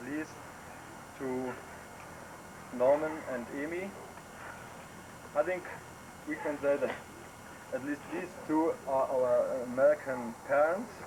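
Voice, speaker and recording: With a German accent, a man speaks very slowly at a fairly high pitch with ordinary pitch variation, and noticeable background noise is present. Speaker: visiting relative from abroad. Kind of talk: farewell speech. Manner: halting.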